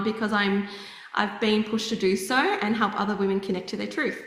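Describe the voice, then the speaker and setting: With an Australian accent, a woman talks at a medium pitch in a fairly even intonation, with audible room echo and noticeable background noise. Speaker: psychic medium and healer. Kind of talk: interview.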